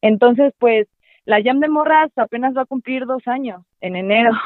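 This woman has a normal speaking voice. She talks at a moderate pace with lively intonation. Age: 20s. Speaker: drummer and musician. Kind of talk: casual interview chat. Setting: call.

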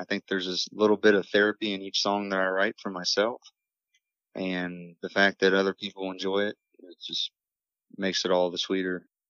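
A man with a very deep, low voice speaks at a fairly quick pace in a flat monotone, his loudness swinging widely. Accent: Appalachian. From Morgantown, West Virginia. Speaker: singer-songwriter. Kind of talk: interview.

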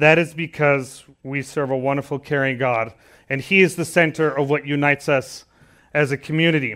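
Using a normal speaking voice, a man talks at a fairly high pitch and a moderate pace with fairly even intonation. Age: 30s. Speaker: preacher. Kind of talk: sermon.

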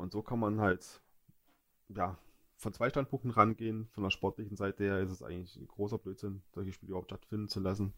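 A man talks at a fairly quick pace, his pitch fairly low and his intonation fairly even. It is a normal speaking voice. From Görlitz, eastern Saxony. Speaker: football podcast co-host. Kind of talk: casual chat.

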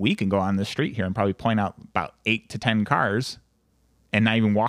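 A man's normal speaking voice at a fairly low pitch and fairly quick pace, with fairly even intonation, a dry, close sound with no echo and a very clean recording with a silent background. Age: 20s. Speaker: insurance agent and business owner. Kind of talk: casual interview chat.

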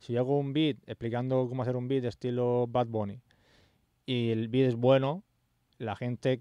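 The delivery moves at a fairly quick pace with monotone, flat intonation. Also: man. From Spain. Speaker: music producer and YouTuber. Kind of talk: casual chat.

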